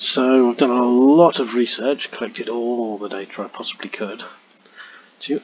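With ordinary pitch variation, a man speaks in a dry recording with no echo and noticeable background noise. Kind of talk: tutorial.

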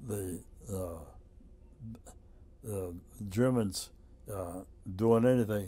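A man with an American accent speaks at a very slow pace with long, frequent pauses, using a dark, mellow tone, a somewhat breathy quality and a fairly low pitch. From United States. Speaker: WWII veteran, former prisoner of war. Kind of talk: oral history interview answer. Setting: museum interview. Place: office.

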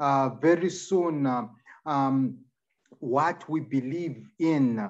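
A man speaks at a very slow pace. His pitch varies in an ordinary way. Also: quiet background. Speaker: preacher. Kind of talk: sermon. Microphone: video call.

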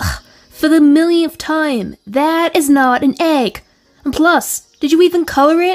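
Doing a put-on character voice, a woman speaks at a high pitch and a fairly slow pace in a whiny tone, sounding whiny, with ordinary pitch variation. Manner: exasperated, whiny.

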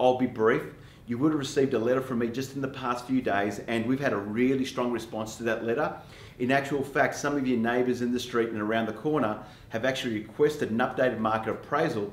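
The speech moves at a very fast pace with fairly even intonation. Room echo is audible. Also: man. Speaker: real estate coach. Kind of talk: tutorial. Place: studio.

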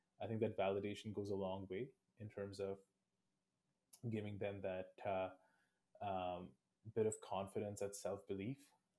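Speaking at a moderate pace, a man has a fairly low pitch, a dark, mellow tone and little pitch movement.

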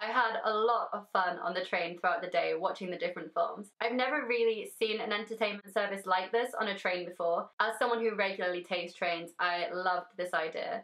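Talking at a fairly quick pace with hardly any pauses, a woman shows ordinary pitch variation. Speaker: vlogger. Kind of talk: casual vlog chat. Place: home room.

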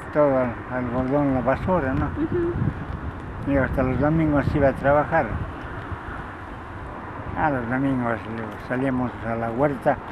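Over noticeable background noise, a man speaks at a fairly slow pace with long, frequent pauses, the sound dry with no echo. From Tepeji del Río, Hidalgo, Mexico. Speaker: goat herder, retired factory worker. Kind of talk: interview answer. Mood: reminiscing, calm. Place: open country.

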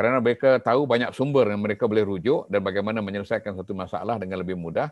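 A man speaks very fast at a fairly low pitch, with ordinary pitch variation. The sound is dry with no echo, and the background is quiet. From Malaysia. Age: 50s. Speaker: professor. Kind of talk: lecture. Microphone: webcam.

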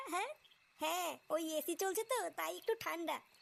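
This cartoonish character voice from a woman sits at an extremely high pitch and moves at a moderate pace.

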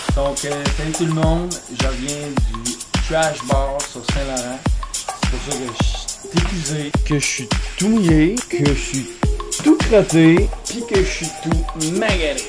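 Clear music plays behind a man's voice. He talks at a very slow pace with long, frequent pauses. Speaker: vlogger. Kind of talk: casual vlog chat. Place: home room. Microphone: phone near.

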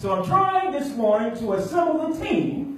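A man with an American accent speaks at an extremely high pitch, with strong echo filling the room. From Michigan. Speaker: minister. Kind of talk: sermon. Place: church.

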